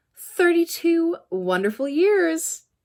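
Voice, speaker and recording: A woman puts on a character voice at a high pitch. It is sing-song, with very wide pitch swings. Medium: read story. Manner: sing-song, cheerful.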